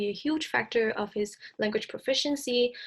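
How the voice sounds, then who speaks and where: With a Cantonese accent, a woman speaks in a high pitch at a moderate pace with ordinary pitch variation, against a quiet background. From Hong Kong. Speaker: speech-language clinician presenter. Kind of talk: recorded presentation lecture. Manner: some hesitations and self-corrections.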